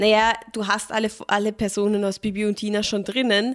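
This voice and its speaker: A woman is speaking. The background is quiet. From Austria, moved from Germany as a small child. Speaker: film podcast co-host. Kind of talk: casual chat.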